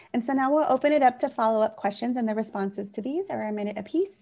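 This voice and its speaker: A woman speaks at a very fast pace, somewhat breathy, with a dark, mellow tone. Her pitch varies in an ordinary way. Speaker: endorsement interview moderator. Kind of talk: political endorsement interview.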